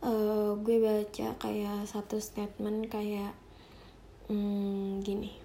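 Amid audible room echo, a woman with a dark, mellow tone speaks very slowly at a medium pitch in a monotone, flat intonation. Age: 20s. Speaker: podcast host. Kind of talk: personal monologue. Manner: halting.

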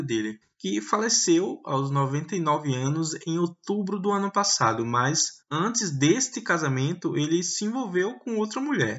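A man's high voice, fairly slow in pace, with very wide pitch swings. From Pernambuco agreste, Brazil. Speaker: podcast host. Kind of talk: scripted narration.

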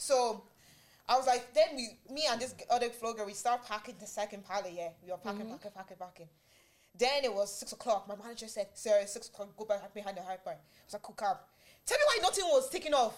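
A very fast, animated delivery with ordinary pitch variation and big swings in loudness, over noticeable background noise. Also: woman, fairly high pitch for a woman. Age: 20s. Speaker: podcast host. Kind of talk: casual chat.

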